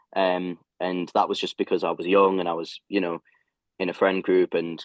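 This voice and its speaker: A man's very deep, low voice with a British accent and monotone, flat intonation at a moderate pace. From UK. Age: 20s. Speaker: ultra runner. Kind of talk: podcast interview answer.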